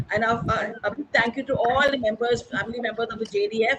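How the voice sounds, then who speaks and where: Noticeable background noise sits under speech at a fairly quick pace. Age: 60s. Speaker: award recipient. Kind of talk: acceptance speech.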